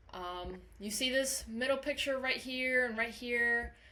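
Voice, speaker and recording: There is audible room echo around a woman whose voice shows ordinary pitch variation. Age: 20s. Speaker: college instructor. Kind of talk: lecture. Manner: animated.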